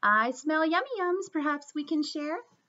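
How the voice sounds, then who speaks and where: A woman puts on a squeaky character voice, pitched high. She keeps to a moderate pace. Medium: read story.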